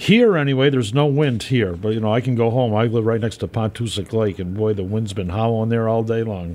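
Talking at a fairly quick pace with hardly any pauses, a man with an unremarkable speaking voice holds a medium pitch and ordinary pitch variation. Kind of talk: radio dj patter, relaxed polka show banter with song intros and call-in plugs. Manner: easygoing, chatty and friendly, rambling a little as he gives out requests info.

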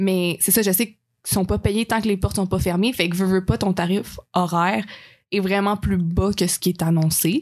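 Over a quiet background, a woman with an unremarkable speaking voice and medium pitch talks at a moderate pace. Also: fairly even intonation. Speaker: friend of the host, travel companion. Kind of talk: casual chat.

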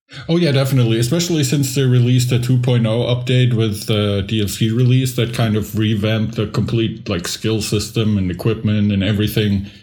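A man's medium-pitched voice at a fairly quick pace, very even in loudness, over noticeable background noise. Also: ordinary pitch variation. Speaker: podcast co-host. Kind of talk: casual chat.

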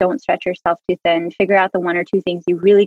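Over music in the background, a woman with a medium pitch talks at a very fast pace. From US, Hmong family. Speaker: product manager in media. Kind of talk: interview conversation. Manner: rambling, filler-heavy.

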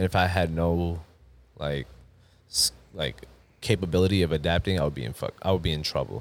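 A man with a New York accent, very deep low pitch, ordinary pitch variation and moderate pace, on a very clean recording with a silent background. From Long Island, New York. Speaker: basketball referee. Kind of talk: casual chat.

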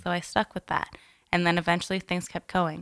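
This is an unremarkable speaking voice from a woman, fairly low in pitch with fairly even intonation. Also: dry, close sound with no echo, very clean recording, silent background. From Alberta, Canada. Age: 20s. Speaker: weight-loss influencer. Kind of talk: interview, personal story.

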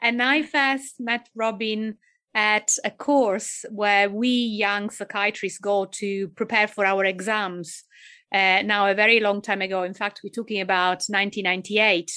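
A woman with an Italian accent talks at a fairly slow pace with fairly even intonation. Her bright, sharp tone sits at a medium pitch against a quiet background. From Italy. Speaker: cannabis and psychosis researcher. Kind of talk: interview. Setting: video call.

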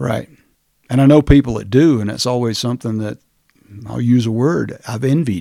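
Speaking fairly quickly with an American accent, a man uses very wide pitch swings in a dark, mellow tone. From US South, rural Georgia. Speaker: county commissioner and retired naval officer. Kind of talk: casual interview.

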